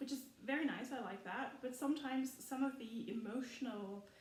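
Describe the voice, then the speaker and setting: Audible room echo surrounds a woman with a German accent. She speaks at a moderate pace and high pitch, with lively intonation. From Germany. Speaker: film commentary youtuber. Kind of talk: casual rant video. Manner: animated.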